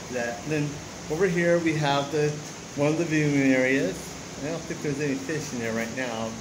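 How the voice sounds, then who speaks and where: A man talks at a moderate pace with ordinary pitch variation. Noticeable background noise runs beneath him. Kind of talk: casual vlog chat. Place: waterside. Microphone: phone near.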